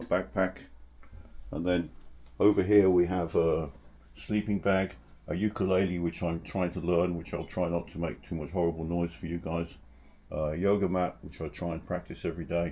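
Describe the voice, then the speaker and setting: Very deep and low in pitch, a man speaks in an English accent at a moderate pace with fairly even intonation. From England. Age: 60s. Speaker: travel vlogger. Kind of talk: casual vlog narration. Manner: halting, with many fillers.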